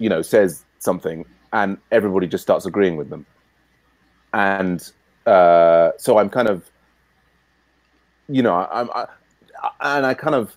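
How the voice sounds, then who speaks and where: Delivered at a fairly slow pace, the speech has lively intonation broken by long, frequent pauses. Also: man, fairly low pitch for a man. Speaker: meeting facilitator. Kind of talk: online team meeting. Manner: halting, many repeated words.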